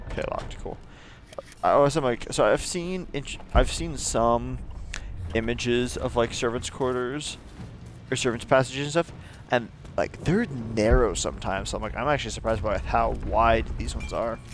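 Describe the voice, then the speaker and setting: Speech at a moderate pace is broken by long, frequent pauses, with music playing in the background. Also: man. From United States. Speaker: video game streamer. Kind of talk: gameplay commentary. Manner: casual, filler-heavy.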